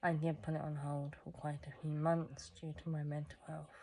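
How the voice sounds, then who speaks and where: Very deep, low pitch from a woman with a dark, mellow tone, at a moderate pace. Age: 20s. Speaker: vlogger. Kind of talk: personal vlog monologue. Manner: halting, self-correcting.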